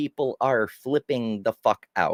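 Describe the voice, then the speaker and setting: Dry and close with no echo, a voice with an American accent moves at a fairly slow pace. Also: man. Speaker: live-stream news commentator. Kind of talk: live stream commentary reading news and chat. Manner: casual, animated.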